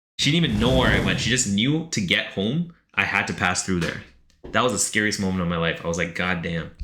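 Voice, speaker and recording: This man speaks very fast at a fairly low pitch, with very wide pitch swings and an animated tone. Room echo is audible. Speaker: streamer reading chat submissions. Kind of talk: live stream reaction.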